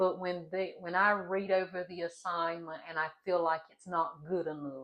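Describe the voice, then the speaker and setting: Speaking with a Southern US accent, a woman moves at a fairly slow pace. Her pitch is fairly low and her intonation fairly even. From US South. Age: 40s. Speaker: vlogger, adult college student. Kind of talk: casual vlog talk.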